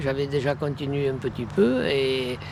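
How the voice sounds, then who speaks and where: Noticeable background noise runs through the recording. Over it, a man talks fairly slowly. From Provence, Vaucluse (France). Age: 70s. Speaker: retired farmer. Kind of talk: interview. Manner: halting, many hesitations.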